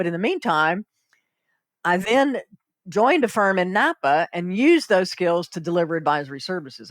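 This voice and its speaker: A woman's fairly low voice in a Southern US accent, fairly quick in pace, on a very clean recording with a silent background. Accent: Southern US, noticeable. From US South, South Carolina. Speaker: accountant and consultant. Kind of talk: podcast interview.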